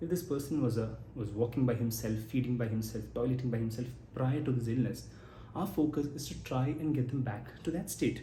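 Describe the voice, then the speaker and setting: A man of medium pitch speaks at a fairly quick pace in a dark, mellow tone with vocal fry and ordinary pitch variation, with audible room echo around him. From Kerala, India. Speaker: geriatrician. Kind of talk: educational talk. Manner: conversational, some self-corrections.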